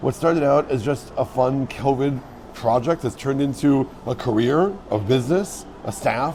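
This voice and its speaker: A man talks at a medium pitch. Background noise is noticeable. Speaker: podcast host and tour guide. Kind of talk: podcast intro and casual interview.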